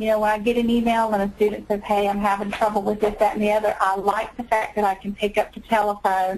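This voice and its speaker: Speaking at a fairly quick pace, a woman with a Southern US accent keeps a medium pitch and fairly even intonation. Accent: Southern US, noticeable. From North Carolina. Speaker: medical coding instructor. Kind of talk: webinar interview.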